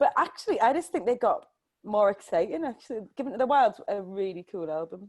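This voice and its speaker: A woman speaks at a fairly quick pace and fairly high pitch. Her tone is animated, with very wide pitch swings. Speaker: singer-songwriter. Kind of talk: casual chat. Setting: video call.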